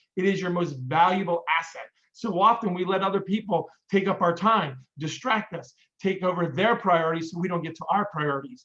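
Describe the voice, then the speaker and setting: A man talks at a high pitch in a bright, sharp, energetic tone. His pace is fairly quick, with ordinary pitch variation. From Pennsylvania. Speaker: business coach and speaker. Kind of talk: presentation on book recommendations. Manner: fast.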